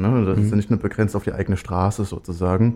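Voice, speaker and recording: His fairly low, dark, mellow voice runs at a fairly quick pace with monotone, flat intonation. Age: 20s. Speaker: student and LGBT volunteer activist. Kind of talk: radio interview. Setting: studio.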